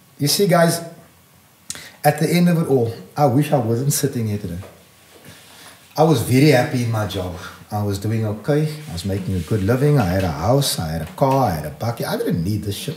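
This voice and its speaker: A man's voice moves through very wide pitch swings, broken by long, frequent pauses. Noticeable background noise and audible room echo fill the recording. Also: medium pitch for a man, fairly quick pace. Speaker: community activist and political party leader. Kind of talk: impassioned podcast interview. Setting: studio. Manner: fast; animated.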